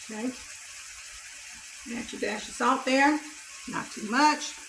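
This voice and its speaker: With a Southern US accent, a woman speaks at a high pitch over noticeable background noise and audible room echo. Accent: country Southern. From US South, Mississippi. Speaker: cooking YouTuber. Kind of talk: cooking tutorial. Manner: casual, chatty.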